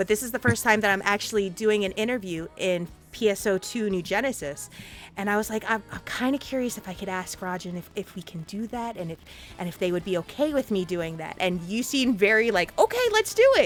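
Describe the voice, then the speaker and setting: Music plays behind a woman of medium pitch who talks in an animated tone at a fairly quick pace, with ordinary pitch variation and big swings in loudness. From Puerto Rico. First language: Spanish. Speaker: interview show host. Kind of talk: casual interview. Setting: live stream.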